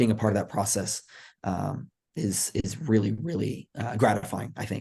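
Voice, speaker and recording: Here a man with an American accent talks at a moderate pace, his fairly low, dark, mellow voice showing vocal fry and ordinary pitch variation. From Texas. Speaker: college volleyball coach. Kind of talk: podcast interview. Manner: casual, many fillers.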